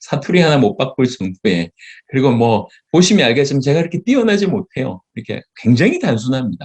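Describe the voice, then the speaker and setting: Delivered at a fairly quick pace, a man's fairly high, somewhat breathy voice moves through very wide pitch swings. The sound is dry and close, with no echo. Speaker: pastor. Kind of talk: sermon lecture. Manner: halting.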